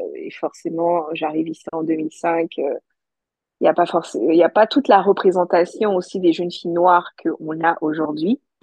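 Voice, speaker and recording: This woman has an unremarkable speaking voice at a fairly low pitch. She speaks at a moderate pace with fairly even intonation. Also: big swings in loudness. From Côte d'Ivoire (Abidjan). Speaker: podcaster and entrepreneur. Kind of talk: testimony.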